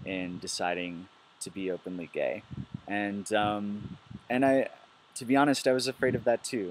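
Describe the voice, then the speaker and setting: With an American accent, a man speaks at a moderate pace. His pitch is fairly low and his intonation fairly even. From US Midwest, Milwaukee, Wisconsin. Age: 20s. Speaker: biologist. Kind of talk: personal testimony video. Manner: hesitant, many fillers.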